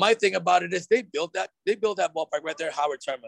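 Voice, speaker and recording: Recorded with a dry, close sound and no echo, a man with an American accent uses lively intonation. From Oakland, California. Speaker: baseball fan and bleacher drummer. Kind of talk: casual chat. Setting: pizza restaurant.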